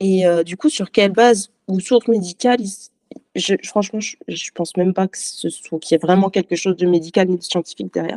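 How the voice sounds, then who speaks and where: A woman's medium-pitched, dark, mellow voice at a fairly quick pace, with ordinary pitch variation, big swings in loudness, and a dry, close sound with no echo. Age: 20s. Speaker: accountant sharing personal medical story. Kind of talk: testimony. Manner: halting.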